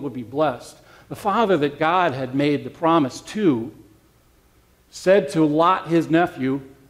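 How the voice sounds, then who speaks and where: Here is an ordinary speaking voice from a man, pitched fairly high. He moves at a moderate pace with ordinary pitch variation. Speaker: pastor giving a sermon. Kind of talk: sermon.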